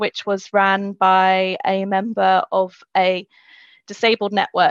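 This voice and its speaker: A woman speaks in a London accent at a medium pitch with monotone, flat intonation. The background is quiet, and the sound is dry and close with no echo. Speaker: engineering graduate. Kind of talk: webinar interview.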